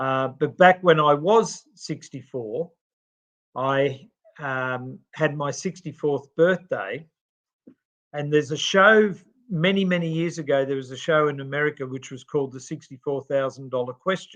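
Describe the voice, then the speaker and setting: A man with an Australian accent, fairly high in pitch, at a moderate pace, with ordinary pitch variation and big swings in loudness. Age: 60s. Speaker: podcast co-host and charity CEO. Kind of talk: podcast interview. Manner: hesitant, many fillers.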